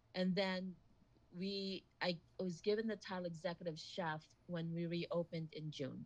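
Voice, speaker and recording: At a moderate pace, a woman speaks with a fairly low pitch and somewhat breathy sound. Her intonation is monotone and flat. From Philippines-born, raised in Hawaii. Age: 50s. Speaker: executive chef. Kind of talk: casual interview chat.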